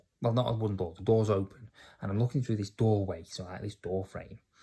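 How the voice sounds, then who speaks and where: A man with a northern English accent speaks in a fairly low, dark, mellow voice that is somewhat breathy, with fairly even intonation, in a very clean recording with a silent background. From England, Cheshire. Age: 30s. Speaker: podcaster. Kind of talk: personal testimony. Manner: casual, halting with fillers.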